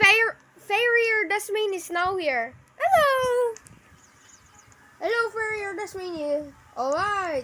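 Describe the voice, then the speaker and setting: Using a put-on character voice, a woman speaks at an extremely high pitch. Her pace is very slow, with long, frequent pauses. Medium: game stream.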